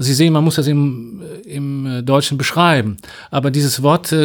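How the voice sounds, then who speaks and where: This man has a plain, everyday voice with a fairly high pitch. His intonation stays fairly even. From western Germany (North Rhine-Westphalia). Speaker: Russian language teacher. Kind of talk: interview.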